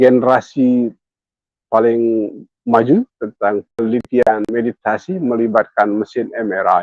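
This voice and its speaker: The speaker has an Indonesian accent and talks at a moderate pace. Pitch varies in an ordinary way. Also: man, medium pitch for a man. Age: 60s. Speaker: meditation teacher. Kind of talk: guided meditation talk. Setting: hotel room, online live session. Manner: bilingual, alternating English and Indonesian.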